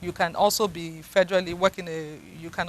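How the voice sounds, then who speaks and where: A woman's fairly low voice with a Nigerian accent, flat and monotone in intonation, in a dry, close sound with no echo. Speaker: psychiatrist. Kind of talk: interview.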